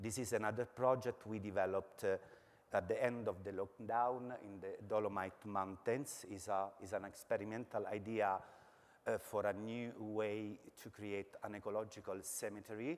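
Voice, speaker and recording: In an Italian accent, a man speaks at a moderate pace with a fairly low pitch and fairly even intonation. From Italy. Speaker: architecture lecturer. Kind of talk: academic presentation. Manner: halting, many filler words.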